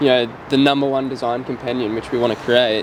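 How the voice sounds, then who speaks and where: Over noticeable background noise, a man with an Australian accent speaks in a monotone, flat intonation at medium pitch. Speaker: startup co-founder. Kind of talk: casual chat. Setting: outdoors.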